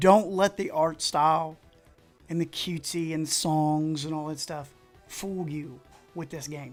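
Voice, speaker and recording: Fairly slow, fairly even speech in an Appalachian accent, with music in the background. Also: man, fairly high pitch for a man, big swings in loudness. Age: middle-aged. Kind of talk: casual livestream talk.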